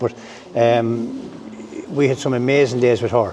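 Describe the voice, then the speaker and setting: A man speaks with an Irish accent against noticeable background noise. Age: 60s. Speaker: racehorse and greyhound trainer. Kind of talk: interview. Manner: halting, full of fillers.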